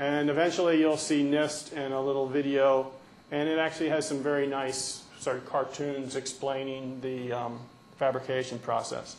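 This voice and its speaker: In a room with audible echo and noticeable background noise, a man speaks at a fairly high pitch with monotone, flat intonation. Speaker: research scientist. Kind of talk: conference talk. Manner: fast.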